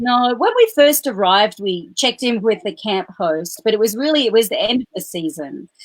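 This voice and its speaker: Lively intonation in an Australian accent, at a moderate pace with hardly any pauses. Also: woman, fairly high pitch for a woman. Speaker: full-time RVer. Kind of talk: casual interview.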